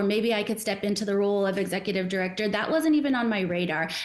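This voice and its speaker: An ordinary speaking voice with an American accent. The pace is moderate and the pitch variation ordinary. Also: woman. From Arizona, US. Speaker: nonprofit executive director. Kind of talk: casual interview.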